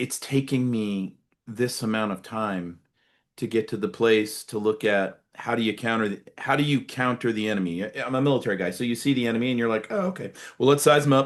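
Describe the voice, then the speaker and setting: Against a quiet background, a man with an American accent uses a plain, everyday voice at medium pitch, fairly quick pace, and ordinary pitch variation. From United States. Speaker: podcast host, retired military officer. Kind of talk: interview conversation.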